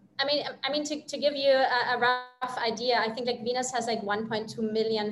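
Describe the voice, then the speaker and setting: The speaker has a German accent, and audible room echo surrounds the voice. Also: woman. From Germany. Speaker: company CEO. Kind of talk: business interview.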